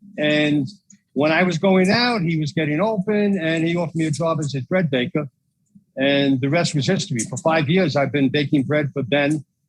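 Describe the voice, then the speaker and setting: With a New York accent, a man talks at a moderate pace, his pitch fairly high with ordinary variation. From New York, Queens. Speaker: bagel shop owner. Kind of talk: interview. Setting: in a bakery kitchen.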